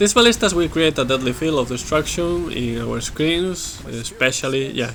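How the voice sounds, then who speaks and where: At a moderate pace, a man with a Spanish accent speaks at a fairly high pitch with lively intonation. There is noticeable background noise. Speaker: gaming video creator. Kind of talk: gameplay commentary. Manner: halting, many fillers.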